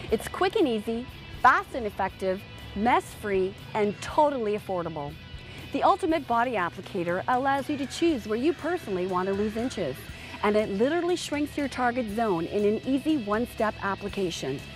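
Upbeat woman's voice, fairly high in pitch with very wide pitch swings, at a fairly quick pace, dry with no echo, clear music behind her. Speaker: product presenter. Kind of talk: TV commercial read. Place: garden. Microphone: lapel.

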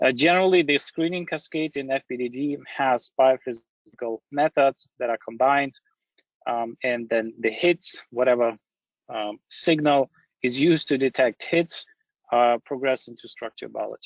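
A plain, everyday voice, a man at fairly high pitch with ordinary pitch variation and a moderate pace. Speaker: company founder and scientist. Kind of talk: lecture. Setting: online webinar.

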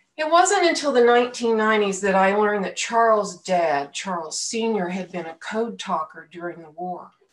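Speaking at a fairly slow pace with hardly any pauses, a woman uses lively intonation and big swings in loudness. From Oklahoma (Tulsa); Oklahoma. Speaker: lay minister. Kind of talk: sermon. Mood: reflective, earnest. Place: home room. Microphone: webcam.

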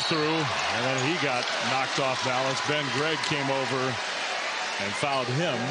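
Loud background noise surrounds a man whose voice sounds dry with no echo. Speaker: play-by-play sports commentator. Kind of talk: live sports commentary. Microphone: headset.

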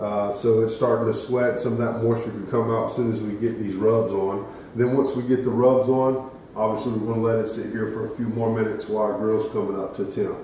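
Speaking at a fairly quick pace, a man keeps a monotone, flat intonation. The room echo is audible, with light background noise. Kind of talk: tutorial. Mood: relaxed, casual. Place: kitchen.

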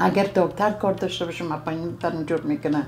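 Over light background noise, a woman talks at a very fast pace with fairly low pitch and fairly even intonation. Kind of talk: interview answer. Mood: grateful, warm. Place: home room.

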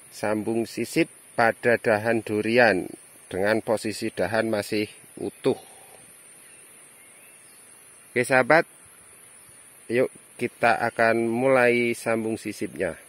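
A man at a very slow pace, with long, frequent pauses, fairly even intonation and a dry sound with no echo. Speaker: farmer demonstrating grafting. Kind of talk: tutorial. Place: open country. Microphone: phone near.

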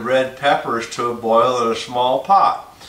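A man speaks at a very slow pace with fairly even intonation, and audible room echo surrounds his voice. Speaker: home cook host. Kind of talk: casual cooking show tutorial. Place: kitchen. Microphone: camera far.

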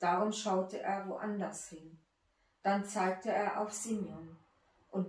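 Someone reads in an unforced way.

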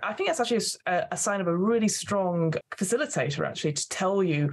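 A woman speaks in a normal speaking voice at a medium pitch and a fairly quick pace. Her pitch varies in an ordinary way. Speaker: podcast host and game master. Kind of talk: interview.

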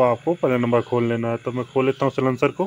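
A man talks at a fairly quick pace. His pitch moves very little.

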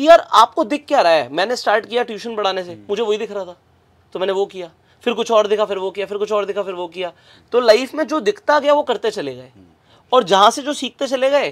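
With lively intonation and big swings in loudness, a man speaks at a fairly quick pace and a high pitch for a man against a quiet background. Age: 20s. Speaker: business coach; podcast guest, business coach. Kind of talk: interview conversation. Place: studio. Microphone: lapel.

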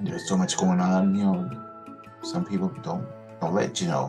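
A man talks while clear music sounds behind him. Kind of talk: casual vlog chat. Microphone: webcam.

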